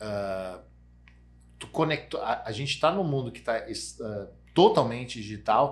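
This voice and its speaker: A man's somewhat breathy, medium-pitched voice at a fairly slow pace, with long, frequent pauses, big swings in loudness and lively intonation. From Rio Grande do Sul, Brazil (Santa Cruz do Sul). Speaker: sales executive. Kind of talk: casual chat. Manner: animated.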